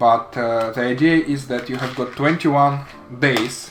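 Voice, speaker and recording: A man's medium-pitched voice with a non-native accent and fairly even intonation, audible room echo and music in the background. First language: not English. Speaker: woodworking hobbyist / vlogger. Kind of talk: casual product demo vlog. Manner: halting, many fillers and repeats.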